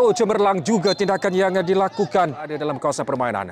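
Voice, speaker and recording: Very fast, animated delivery with very wide pitch swings. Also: man. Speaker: football commentator. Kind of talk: live football commentary, play-by-play. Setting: football pitch, friendly match. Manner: fast, animated, rising-and-falling excitement at chances and goals.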